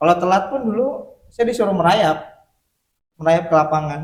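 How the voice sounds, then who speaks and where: With a Sundanese accent, a man speaks at a moderate pace in a high pitch. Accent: Sundanese accent still present. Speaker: podcast guest. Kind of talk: casual interview.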